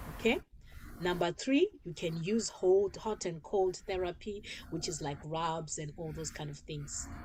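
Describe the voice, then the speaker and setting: A woman speaks at a very slow pace. Her voice is fairly low in pitch and somewhat breathy. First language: not English. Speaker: talk show host. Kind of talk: informational talk show monologue. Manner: halting, with repetitions.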